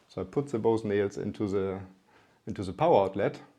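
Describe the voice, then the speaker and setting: Against a quiet background, a man speaks with a dark, mellow tone at a fairly low pitch. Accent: German. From northern Germany (Lübeck). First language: German. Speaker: company CEO. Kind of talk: interview storytelling. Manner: halting, with fillers.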